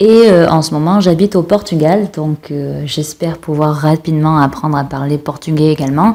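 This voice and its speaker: A woman speaks at a very deep, low pitch with a dark, mellow tone. Her pace is moderate, with hardly any pauses. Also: ordinary pitch variation. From France. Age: 30s. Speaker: podcast guest, polyglot. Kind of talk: casual chat.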